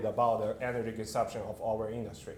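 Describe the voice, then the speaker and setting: A man with a Chinese accent talks at a medium pitch. Audible room echo and noticeable background noise surround him. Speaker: company CEO. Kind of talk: conference presentation. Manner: halting, many fillers.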